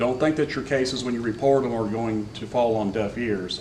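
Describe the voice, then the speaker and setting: A man with an American accent, medium in pitch and fairly even in intonation, amid audible room echo and noticeable background noise. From north Florida (Gilchrist County). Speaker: county sheriff. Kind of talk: public forum speech. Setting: meeting room with audience. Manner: informal, halting with repetitions.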